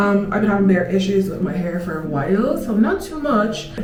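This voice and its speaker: With music in the background and audible room echo, a woman speaks in an animated tone at medium pitch and a moderate pace, with ordinary pitch variation. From Ireland. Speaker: podcaster. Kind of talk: casual chat. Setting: get-ready-with-me recording with a handheld camera.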